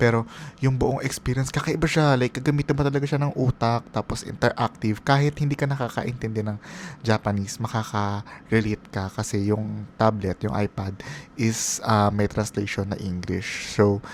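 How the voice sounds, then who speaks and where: Here a man with a medium pitch and ordinary pitch variation has an ordinary speaking voice. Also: moderate pace. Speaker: travel vlogger. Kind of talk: voiceover narration. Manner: casual, conversational.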